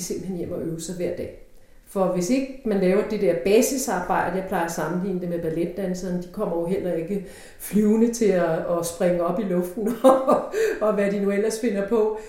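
Moderately paced speech from a woman with ordinary pitch variation, plus noticeable background noise and audible room echo. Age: 50s. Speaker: opera singer. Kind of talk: interview.

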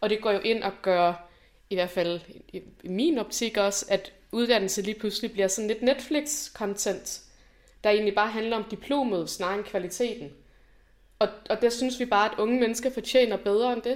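A woman with a plain, everyday voice speaks at a moderate pace and fairly high pitch, with ordinary pitch variation, on a very clean recording with a silent background. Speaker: university graduate, student activist. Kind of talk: conversational interview.

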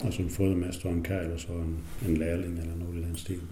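A very deep, low-voiced man, somewhat breathy and fairly quick, with audible room echo. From Southern Jutland, near Tønder, German minority. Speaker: retired dairy farmer. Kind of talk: interview. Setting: at home. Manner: halting.

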